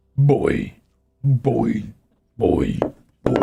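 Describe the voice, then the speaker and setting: A man's put-on character voice, guttural and at medium pitch. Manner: exaggerated, gruff.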